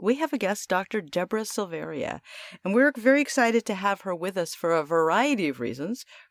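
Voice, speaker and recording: A woman's voice swings very widely in pitch and carries vocal fry. The sound is dry and close, with no echo. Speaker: podcast co-host, EMDR therapist. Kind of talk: casual podcast chat.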